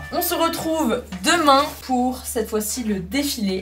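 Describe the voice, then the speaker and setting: Over music in the background, the speaker sounds animated, with lively intonation. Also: woman. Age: 20s. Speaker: lifestyle vlogger. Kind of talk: vlog. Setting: outdoors.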